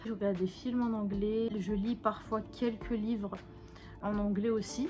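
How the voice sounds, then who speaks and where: A woman talks at a fairly slow pace with very even loudness and fairly even intonation while music plays in the background. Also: fairly high pitch for a woman. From Algeria, Kabylie (Tizi Ouzou). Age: 20s. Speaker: beauty YouTuber. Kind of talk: casual chat while doing makeup.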